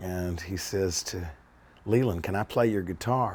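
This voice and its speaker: Here a man speaks with an American accent in an unremarkable speaking voice. His pitch varies in an ordinary way at a moderate pace. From US South, Charlotte, North Carolina. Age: 60s. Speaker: documentary interviewee. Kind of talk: personal storytelling interview.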